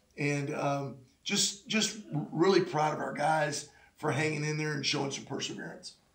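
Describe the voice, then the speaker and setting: A man with a fairly high pitch speaks at a moderate pace, with audible room echo and noticeable background noise. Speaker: high school basketball coach. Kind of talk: radio interview.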